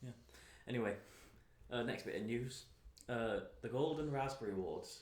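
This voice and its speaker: A man at a moderate pace, with a British accent and audible room echo. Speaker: podcast co-host. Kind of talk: casual chat.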